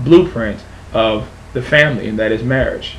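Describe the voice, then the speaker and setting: Moderate pace from a male speaker, light background noise underneath. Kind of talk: religious opinion monologue. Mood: earnest, firm. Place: home room. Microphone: webcam.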